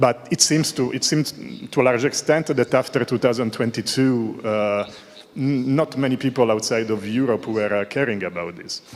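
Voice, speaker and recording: At a medium pitch and moderate pace, a man speaks with an Italian accent and ordinary pitch variation. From Italy. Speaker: audience member asking a question. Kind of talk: conference Q&A question. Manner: halting, many fillers.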